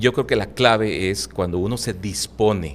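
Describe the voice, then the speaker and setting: A man's fairly low-pitched voice with vocal fry, a moderate pace and ordinary pitch variation. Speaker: Bible teacher. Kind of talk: interview, preaching style. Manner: fluent, talkative.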